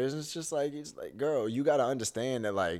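On a very clean recording with a silent background, a man uses a normal speaking voice, ordinary pitch variation and a moderate pace. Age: 20s. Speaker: podcast co-host. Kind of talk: casual chat.

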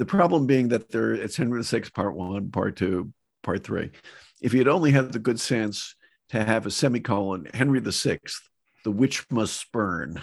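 A man with an American accent speaks at a moderate pace, his intonation lively and touched with vocal fry. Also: medium pitch for a man, quiet background. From US Northeast, Boston area. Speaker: professor. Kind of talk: interview. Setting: in his study.

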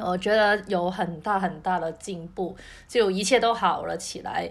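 A woman speaks with a Cantonese accent and ordinary pitch variation. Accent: Cantonese-accented Mandarin. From Cantonese-speaking region. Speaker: podcast co-host. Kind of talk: casual chat. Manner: repeats words, halting.

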